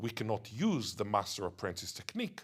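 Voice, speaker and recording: Somewhat breathy and fairly low in pitch, a man speaks at a fairly quick pace with lively intonation. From Israel. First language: Hebrew (Israeli). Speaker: linguist. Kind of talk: interview.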